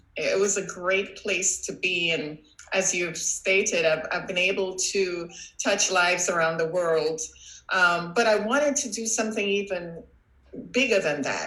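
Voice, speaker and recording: Speaking with a Trinidadian accent, a woman uses a medium pitch and ordinary pitch variation, with audible echo from the room. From Trinidad and Tobago. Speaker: coach and former professor. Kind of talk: interview.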